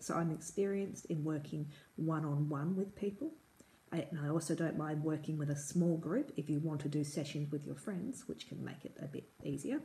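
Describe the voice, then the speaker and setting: Speaking with an Australian accent, a woman has a very deep, low pitch, a dark, mellow tone and a somewhat breathy quality. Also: ordinary pitch variation, moderate pace. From Perth, Western Australia. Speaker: English tutor. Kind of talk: tutor introduction to camera. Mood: friendly, warm. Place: home room. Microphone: phone near.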